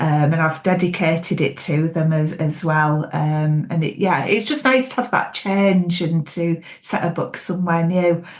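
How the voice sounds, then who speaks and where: With a Yorkshire accent, a woman speaks at a moderate pace and a fairly low pitch, with ordinary pitch variation, very even loudness and hardly any pauses. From Yorkshire, England (York). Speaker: thriller author. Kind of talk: interview.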